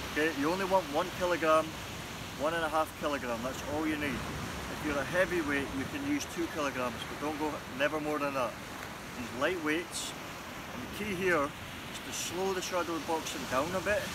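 A man at a moderate pace, dry sound with no echo, loud background noise throughout. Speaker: boxing trainer. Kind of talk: tutorial. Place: beach. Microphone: camera far.

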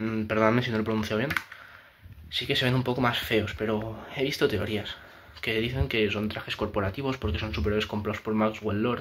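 Fairly even intonation marks this man's speech in a Spanish accent. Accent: Peninsular Spanish. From Spain. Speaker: YouTuber, film commentator; film opinion youtuber. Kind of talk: casual opinion monologue. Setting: home room, new setup after moving. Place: home room.

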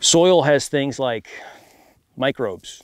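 Against a quiet background, a man speaks at a fairly slow pace in a dry sound with no echo. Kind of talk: interview answer. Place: open country.

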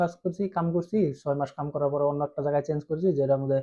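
Fairly even intonation from a man pitched fairly high. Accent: Bangladeshi. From Assam, India (Bengali-speaking area). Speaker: YouTuber giving advice on vocational training in Germany. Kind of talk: casual informational vlog. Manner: informal, direct.

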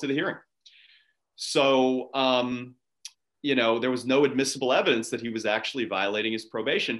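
A fairly quick man's voice with an American accent and fairly even intonation, over a quiet background. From Pittsburgh, Pennsylvania. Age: 30s. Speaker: lawyer and judicial candidate; candidate, lawyer. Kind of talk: interview. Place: home room. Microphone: webcam.

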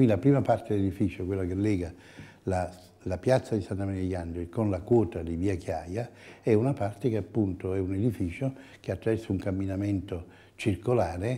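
A man's somewhat breathy, dark, mellow voice, very deep and low in pitch with ordinary variation. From Italy. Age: 70s. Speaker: architect. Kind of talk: interview. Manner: halting. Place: office. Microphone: lapel.

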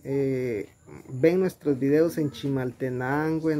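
Over light background noise, a man talks at a very slow pace. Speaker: vlogger filming. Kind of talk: casual vlog chat. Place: home room.

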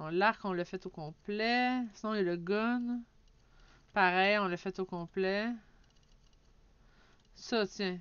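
A woman talks at a medium pitch with a Quebec accent. Her pace is very slow, with long, frequent pauses. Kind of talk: casual let's play commentary.

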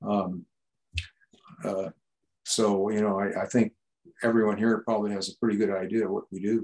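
Fairly low male voice, flat and monotone, broken by long, frequent pauses. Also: moderate pace. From San Francisco, California. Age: old. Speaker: retired engineer and UAP researcher; guest. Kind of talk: casual discussion over video call. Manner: halting. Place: home room. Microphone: video call.

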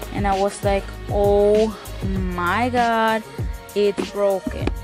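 A woman speaks with clear music playing behind her. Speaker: thrift vlogger. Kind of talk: casual vlog chat. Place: home room.

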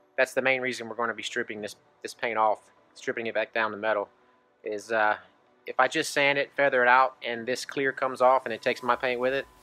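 A man at a very fast pace, intonation monotone and flat, faint music in the background. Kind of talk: casual vlog tutorial. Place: street. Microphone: phone near.

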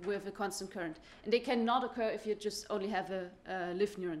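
This woman talks at a moderate pace, her intonation fairly even. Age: young. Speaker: physics PhD student; presenter. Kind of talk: conference talk. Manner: hesitant, many fillers. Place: hall.

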